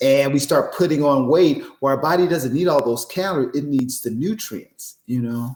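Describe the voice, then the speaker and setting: Hardly any pauses, a moderate tempo, ordinary pitch variation, and a plain, everyday voice. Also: man, fairly high pitch for a man. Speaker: podcast host. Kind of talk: podcast conversation.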